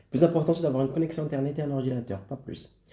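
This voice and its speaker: Somewhat breathy, a man's voice sits at medium pitch with a dark, mellow tone. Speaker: online business coach. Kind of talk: live stream presentation. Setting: live stream.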